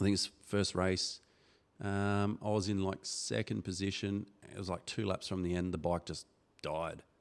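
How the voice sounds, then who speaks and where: Very deep and low in pitch, a man with an Australian accent talks at a moderate pace with fairly even intonation. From Darwin, Northern Territory, Australia. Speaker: motocross club organiser and former racer. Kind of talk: casual chat. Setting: studio.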